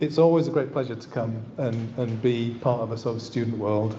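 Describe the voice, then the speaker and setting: Amid noticeable background noise and audible room echo, a man of medium pitch speaks at a moderate pace. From northern England, East Yorkshire. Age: 60s. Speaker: landscape architect. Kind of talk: lecture. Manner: halting, with frequent repetitions and fillers.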